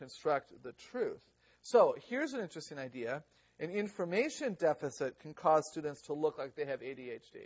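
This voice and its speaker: A man speaks in an ordinary speaking voice, fairly high-pitched, at a moderate pace, with big swings in loudness. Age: 50s. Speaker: educator giving a workshop. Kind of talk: lecture. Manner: conversational, engages audience.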